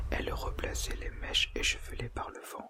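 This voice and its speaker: A soft-spoken man is whispering at a fairly slow pace. Noticeable background noise sits behind him. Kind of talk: whispered audiobook reading. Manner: whispered, soft, slow.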